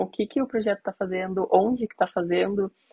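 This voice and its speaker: With a normal speaking voice, a woman talks at a medium pitch. Her intonation stays fairly even, and she keeps a moderate pace. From Curitiba, southern Brazil. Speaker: iOS software engineer. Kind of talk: casual chat.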